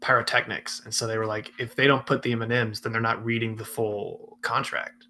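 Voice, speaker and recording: A plain, everyday voice from a man with an American accent, medium in pitch and fairly quick in pace. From Atlanta, US South. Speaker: podcast host. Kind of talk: interview.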